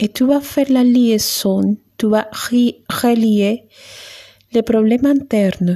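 A woman speaks very slowly in a dark, mellow, calm, soothing tone with a fairly high pitch. Her loudness is very even and her intonation fairly even. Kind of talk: guided meditation. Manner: slow, calm, soothing, with long pauses; gentle, instructive, switching between French and Spanish.

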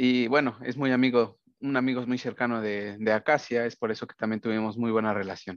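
Against a quiet background, a man with an ordinary speaking voice talks at a fairly quick pace and medium pitch, with fairly even intonation and hardly any pauses. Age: 20s. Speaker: podcast co-host, granite company worker. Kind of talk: casual chat.

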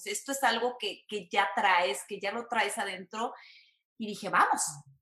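A woman's lively intonation at a moderate pace. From Mexico, San Luis Potosí. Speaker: entertainment reporter. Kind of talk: casual interview.

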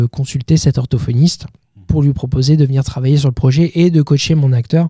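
Recorded with a dry, close sound and no echo, a man speaks at a moderate pace. His voice is somewhat breathy and medium in pitch. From Normandy, Calvados (Bayeux). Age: 30s. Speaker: film director. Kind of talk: interview. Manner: halting with repetitions.

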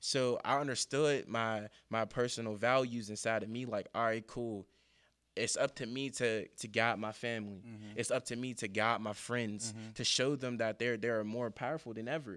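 A man with an American accent speaks at a moderate pace in an unremarkable speaking voice, medium in pitch and fairly even in intonation. The recording is very clean, with a silent background. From US, east side of Pittsburgh. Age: 20s. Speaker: motivational speaker. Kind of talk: motivational speech; casual interview chat.

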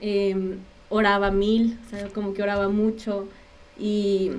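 A medium-pitched woman's voice with audible room echo. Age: 20s. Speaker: illness survivor and communicator. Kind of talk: testimony. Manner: talkative.

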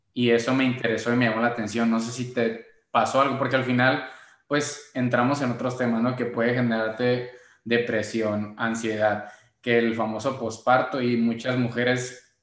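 Audible room echo surrounds a man's medium-pitched, flat, monotone delivery at a moderate pace. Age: 20s. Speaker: podcast co-host. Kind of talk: casual chat.

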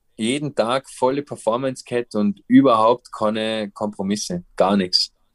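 A man with an unremarkable speaking voice talks at a moderate pace with fairly even intonation, recorded with a dry, close sound that has no echo. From Austria, Vorarlberg (Dornbirn). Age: 30s. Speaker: professional paraglider. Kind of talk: interview.

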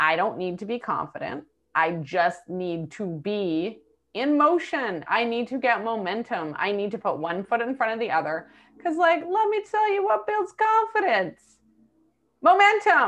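Her fairly high voice moves in very wide pitch swings as this woman speaks at a fairly slow pace. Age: 40s. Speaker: entrepreneur. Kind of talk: interview.

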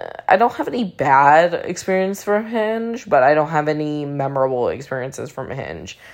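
Quiet overall, a woman speaks at a moderate pace with a very deep, low pitch. Her pitch swings very widely, and her loudness rises and falls sharply. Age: 20s. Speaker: podcast host. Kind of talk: casual monologue. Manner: quiet, low voice.

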